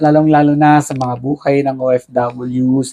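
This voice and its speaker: A man speaks in a dark, mellow tone. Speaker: podcast host, OFW. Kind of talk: interview.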